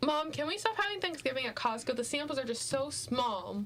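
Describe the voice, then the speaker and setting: In a put-on character voice, a female-sounding voice, high-pitched and nasal, goes at a fairly quick pace over light background noise. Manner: goofy.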